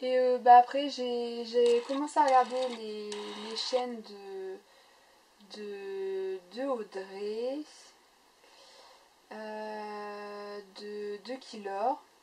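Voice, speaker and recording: This woman talks at a very slow pace with a fairly high pitch, long and frequent pauses, fairly even intonation and big swings in loudness. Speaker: scrapbooking YouTuber. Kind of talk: casual chat. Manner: halting, many fillers.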